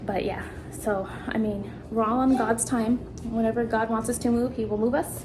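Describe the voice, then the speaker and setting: Over noticeable background noise and audible room echo, a woman talks in a fairly high pitch with monotone, flat intonation. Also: moderate pace. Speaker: vlogger, stay-at-home mom. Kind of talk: casual vlog. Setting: at home.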